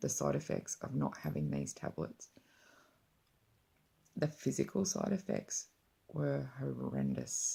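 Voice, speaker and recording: A woman talks at a fairly slow pace, leaving long, frequent pauses. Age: 40s. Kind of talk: personal story told to camera.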